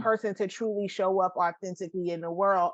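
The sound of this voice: Her pitch sits in the middle range for a woman. This woman's voice shows ordinary pitch variation.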